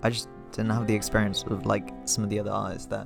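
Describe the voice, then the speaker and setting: Very fast male speech with background music. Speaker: cartoonist. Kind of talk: casual talk to camera. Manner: casual, hesitant.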